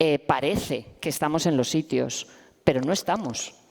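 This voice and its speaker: A woman talks at a moderate pace with a very deep, low pitch. Her voice shows vocal fry and ordinary pitch variation. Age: 50s. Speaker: professor and activist. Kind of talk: panel discussion. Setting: stage with audience.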